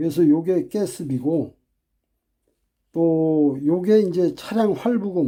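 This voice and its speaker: A man with a high-pitched, dark and mellow voice speaks at a very slow pace, with ordinary pitch variation and long, frequent pauses. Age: 60s. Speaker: private taxi driver. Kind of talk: casual talk to camera.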